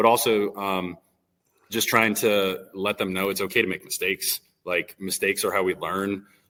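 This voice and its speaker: A loud man speaks at a moderate pace in a fairly low pitch, his bright, sharp tone held to a flat, monotone intonation. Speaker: elementary PE teacher. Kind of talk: casual interview chat. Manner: hesitant, many fillers.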